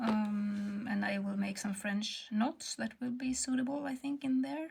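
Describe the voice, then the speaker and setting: Speaking slowly, fairly so, a woman uses a Swedish accent and a fairly high pitch with ordinary pitch variation. Noticeable background noise runs behind her. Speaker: textile artist. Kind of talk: tutorial. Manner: halting.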